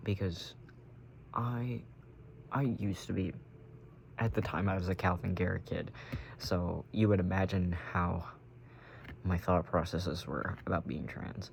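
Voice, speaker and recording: Very deep and low in pitch with vocal fry, a man speaks at a fairly slow pace with ordinary pitch variation and long, frequent pauses. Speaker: vlogger. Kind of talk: casual chat. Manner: halting.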